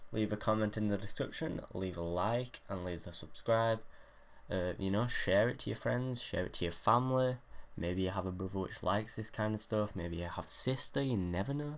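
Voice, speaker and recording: A man with a British accent mumbles at a moderate pace. His voice sits fairly low, with ordinary pitch variation. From Great Britain. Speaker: gaming YouTuber. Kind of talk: casual gameplay commentary. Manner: mumbling.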